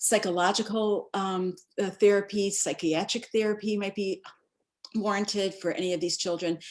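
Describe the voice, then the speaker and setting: A woman of medium pitch speaks in a monotone, with flat intonation. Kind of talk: webinar presentation. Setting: online webinar. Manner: fast.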